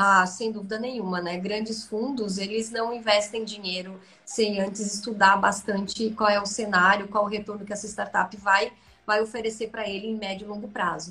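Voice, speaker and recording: A woman speaks in a monotone with flat intonation. Music runs in the background. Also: medium pitch for a woman, moderate pace. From Santa Catarina, Brazil (rural interior). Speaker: business executive. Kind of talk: interview on a live stream. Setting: online live stream.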